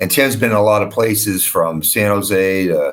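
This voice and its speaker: In a normal speaking voice, a man with an American accent talks at a moderate pace and a fairly low pitch. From Boston, US. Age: 60s. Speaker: hockey coach. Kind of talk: interview. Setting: studio.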